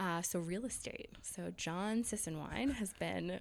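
A woman with a fairly low pitch and an American accent speaks fairly slowly in a normal speaking voice. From New York, outside the city. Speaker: speech pathologist turned real estate agent. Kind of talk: casual interview chat.

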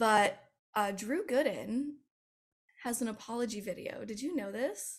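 With an American accent, a woman speaks at a fairly slow pace in a fairly high pitch, using ordinary pitch variation and long, frequent pauses. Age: 20s. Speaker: commentary YouTuber. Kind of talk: casual chat interview.

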